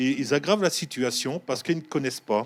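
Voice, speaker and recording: A man at a fairly high pitch with lively intonation, on a very clean recording with a silent background. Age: 60s. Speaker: first aid trainer. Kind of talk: TV talk show interview. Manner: halting.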